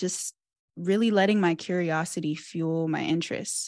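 A plain, everyday voice from a woman with an American accent, fairly low in pitch with ordinary pitch variation, the sound dry and close with no echo and a quiet background. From US Midwest, Cincinnati area. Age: 20s. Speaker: PhD student in engineering education. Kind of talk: interview.

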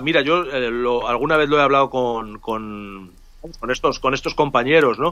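A man with a Castilian accent speaks at a moderate pace in a bright, sharp tone with ordinary pitch variation. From Spain, Salamanca. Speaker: illustrator and writer, former art professor. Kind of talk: interview, storytelling. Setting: remote call from home. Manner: halting, many repeated words.

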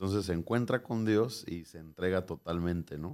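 On a very clean recording with a silent background, a man speaks at a fairly slow pace with a very deep, low pitch. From Mexico, Michoacán. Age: 20s. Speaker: pastor. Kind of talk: interview.

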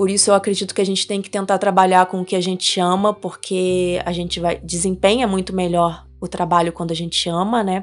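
Against a quiet background, a woman speaks at a medium pitch and a fairly quick pace with monotone, flat intonation. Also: hardly any pauses. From Rio de Janeiro, Brazil. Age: 30s. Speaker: trail runner and photographer. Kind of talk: interview.

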